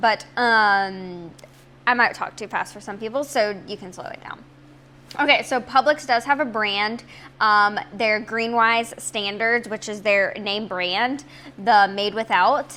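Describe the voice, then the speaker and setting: A woman speaks in an ordinary speaking voice with fairly high pitch and ordinary pitch variation. Her pace is fairly slow, and her loudness swings widely. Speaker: health and nutrition vlogger. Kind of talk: tutorial.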